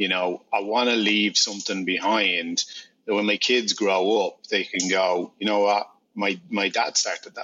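A man speaks fairly slowly in a monotone, flat intonation. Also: fairly low pitch for a man. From Ireland. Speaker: beverage company founder. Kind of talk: interview.

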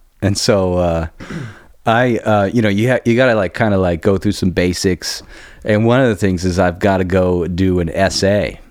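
At a moderate pace, a man speaks with fairly even intonation and very even loudness. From born in Germany (Heidelberg, near US base). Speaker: musician, guitarist. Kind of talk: casual chat. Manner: halting, many fillers.

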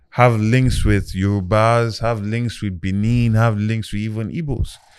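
On a very clean recording with a silent background, a man uses a normal speaking voice at a medium pitch, a moderate pace and fairly even intonation. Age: 30s. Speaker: political candidate. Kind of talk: interview conversation. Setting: studio.

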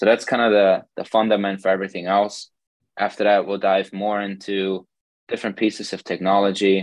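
A man's very deep, low voice at a fairly quick pace, monotone and flat, over a quiet background. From Germany. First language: German. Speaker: sports scientist. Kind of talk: podcast interview.

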